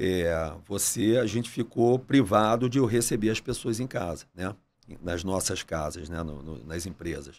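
This man's voice is very deep and low in pitch, and he speaks at a fairly slow pace. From Brazil, Rio de Janeiro. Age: 40s. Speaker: entrepreneur, restaurant chain CEO; podcast guest. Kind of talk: casual interview. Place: studio. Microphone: studio mic.

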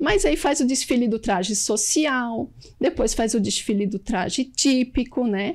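A woman's high-pitched voice, lively in intonation, very even in loudness and fairly slow in pace, on a very clean recording with a silent background. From Blumenau, southern Brazil. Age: 40s. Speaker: textile worker and festival princess. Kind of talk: TV interview.

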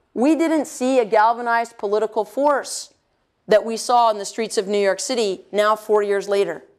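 A woman at a fairly high pitch with ordinary pitch variation, a moderate pace and a quiet background. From US South, North Carolina. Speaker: energy policy expert; lecturer. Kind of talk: lecture. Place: hall. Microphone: lapel.

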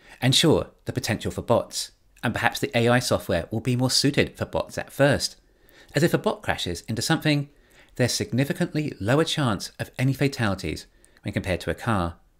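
A man with vocal fry and very wide pitch swings against a quiet background. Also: fairly quick pace. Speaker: commentator on company strategy. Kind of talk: commentary. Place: home room.

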